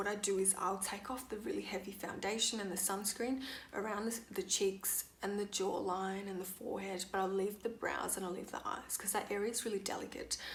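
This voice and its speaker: Against noticeable background noise, a woman talks at a fairly quick pace with hardly any pauses. Her medium-pitched voice is monotone and flat. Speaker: skincare vlogger. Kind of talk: casual talk to camera.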